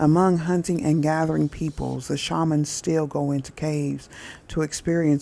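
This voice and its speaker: Captured in a very clean recording with a silent background, the voice has a Southern Indiana accent, a dark, mellow tone, monotone, flat intonation and a moderate pace. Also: woman. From US Midwest, southern Indiana. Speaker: spiritual reader, channel host. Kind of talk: reading aloud from a book.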